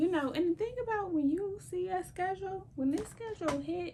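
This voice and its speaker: A soft-spoken woman with a dark, mellow tone talks at a fairly slow pace. Her pitch swings very widely. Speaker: lifestyle vlogger. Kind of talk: casual vlog talk.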